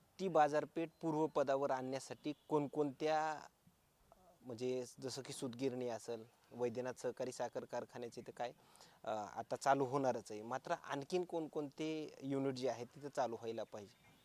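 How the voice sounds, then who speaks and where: A man speaks at a medium pitch in an ordinary speaking voice. His intonation stays fairly even, and the sound is dry and close with no echo. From Maharashtra, Beed district. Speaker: local news reporter. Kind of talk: news interview.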